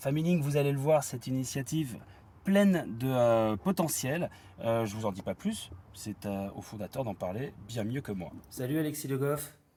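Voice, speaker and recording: A man speaks with a dark, mellow tone and lively intonation. His voice is somewhat breathy. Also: medium pitch for a man, moderate pace. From Normandy, France. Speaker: podcast host. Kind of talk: interview. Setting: outdoors by a river.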